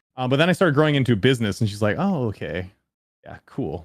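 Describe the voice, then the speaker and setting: On a very clean recording with a silent background, a man with a Canadian accent talks at a very fast pace and medium pitch. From Canada. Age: 30s. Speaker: YouTuber. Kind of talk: casual chat.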